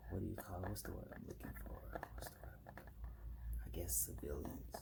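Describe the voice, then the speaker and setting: A soft-spoken man with a very deep, low pitch and a relaxed tone uses ordinary pitch variation against noticeable background noise. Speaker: ASMR content creator. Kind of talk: soft-spoken ASMR ramble to camera. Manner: soft-spoken, relaxed.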